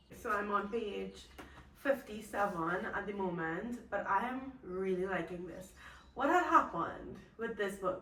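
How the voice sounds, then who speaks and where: A woman speaks at a fairly slow pace, her medium pitch varying in an ordinary way. Noticeable background noise and audible room echo fill the recording. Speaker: booktube vlogger. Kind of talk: casual chat. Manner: animated.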